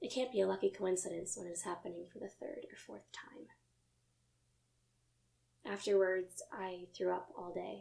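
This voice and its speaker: Speaking at a moderate pace, a woman shows big swings in loudness and takes long, frequent pauses. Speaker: actor. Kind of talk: dramatic monologue of a true first-person account. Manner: emotional, earnest.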